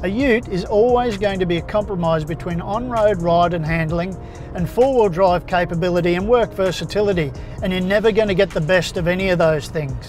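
Over clear background music, a man talks at a fairly quick pace with ordinary pitch variation in a dry sound with no echo. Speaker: car reviewer. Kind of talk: review commentary. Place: car.

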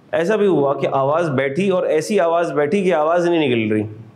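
Intonation is lively while the pace stays fairly slow. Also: man. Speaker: accounting lecturer. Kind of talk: lecture. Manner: animated. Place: classroom.

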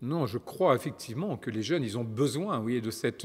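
Ordinary pitch variation from a male speaker. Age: 50s. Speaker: politician. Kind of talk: interview. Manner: hesitant, with many repetitions. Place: studio.

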